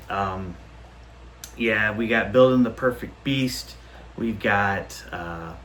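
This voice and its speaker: A man's fairly low voice, very slow with long, frequent pauses and ordinary pitch variation, in audible room echo. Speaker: record collector YouTuber. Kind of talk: casual vlog show-and-tell. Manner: animated.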